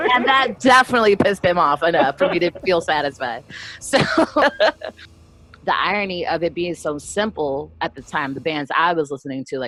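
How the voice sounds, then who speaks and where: A loud woman speaks at a fairly quick pace in an animated tone, her fairly low voice making very wide pitch swings, with a dry, close sound with no echo and music in the background. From US mid-Atlantic (DC area), born in Brazil. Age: 30s. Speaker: punk singer and bassist. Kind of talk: interview.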